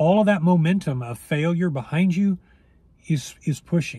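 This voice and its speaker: A man speaks with lively intonation in a dry sound with no echo. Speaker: weight loss coach. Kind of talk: casual vlog chat. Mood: reflective, encouraging. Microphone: phone near.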